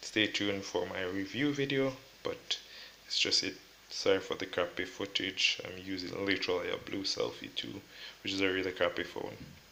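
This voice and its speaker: Speaking at a moderate pace, the voice stays soft-spoken. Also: man. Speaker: tech youtuber. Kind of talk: unboxing tutorial. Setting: at home.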